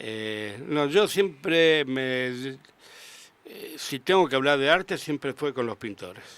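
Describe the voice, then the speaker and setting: A man speaks very slowly in a fairly high voice, his loudness swinging widely. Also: lively intonation. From Argentina, Rosario. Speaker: sculptor. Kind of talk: radio interview. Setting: radio studio.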